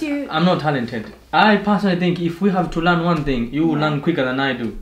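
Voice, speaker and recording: A man talks very fast in a high voice. There is audible echo in the room. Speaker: YouTube channel host. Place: home room. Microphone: camera far.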